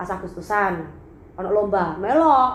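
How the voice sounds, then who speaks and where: With an East Javanese accent and an animated tone, a woman speaks at medium pitch and a moderate pace amid audible room echo. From Blitar, East Java, Indonesia. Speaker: singer and YouTuber. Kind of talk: casual vlog storytelling.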